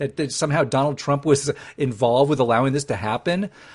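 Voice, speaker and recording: A somewhat breathy male voice at a fairly quick pace against a quiet background. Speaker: podcast host. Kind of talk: angry political rant. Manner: sarcastic; animated.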